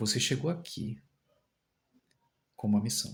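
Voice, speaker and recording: A soft-spoken man's voice with vocal fry and very wide pitch swings. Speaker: tarot reader and spirit medium. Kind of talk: channelled spiritual message.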